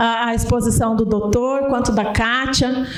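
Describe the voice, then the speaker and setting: The speaker sounds animated and talks at a fairly slow pace. Noticeable background noise and audible room echo fill the recording. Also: woman. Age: 40s. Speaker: physical activity instructor. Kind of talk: lecture.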